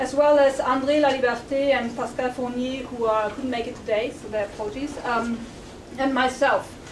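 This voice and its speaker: Loud and flat, a woman's high-pitched voice holds a monotone at a moderate pace, with audible room echo and noticeable background noise. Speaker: sociology professor introducing a lecture. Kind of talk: formal welcome and announcements at a public lecture. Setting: lecture room with live audience. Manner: trying to speak louder; hesitant, many fillers.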